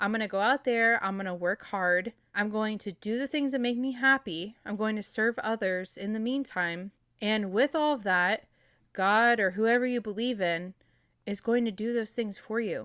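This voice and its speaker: A woman speaks at a moderate pace in a normal speaking voice, fairly high in pitch with ordinary pitch variation. The recording is very clean, with a silent background and a dry, close sound with no echo. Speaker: podcast host, nurse and fitness coach. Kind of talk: pep talk: warm, personal motivational monologue to listeners. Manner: earnest, encouraging, direct address.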